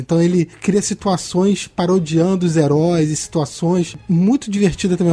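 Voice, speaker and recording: A man speaks with a dark, mellow tone. His pitch sits high for a man. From Petrópolis, Rio de Janeiro state, Brazil. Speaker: comics podcast co-host and journalist. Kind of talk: casual chat.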